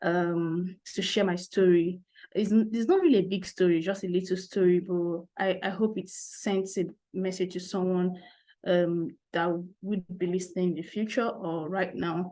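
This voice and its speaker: A woman with a Nigerian accent, medium pitch and monotone, flat intonation. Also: moderate pace. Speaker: SEO specialist. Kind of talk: interview. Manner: halting.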